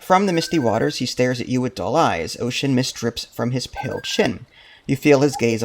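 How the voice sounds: What's heard is a natural reading voice. The clip consists of that.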